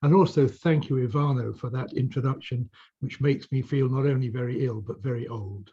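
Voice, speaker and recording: A man of medium pitch speaks at a fairly quick pace in a somewhat breathy voice with a dark, mellow tone and ordinary pitch variation. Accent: British. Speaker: legal expert panelist. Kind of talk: panel discussion.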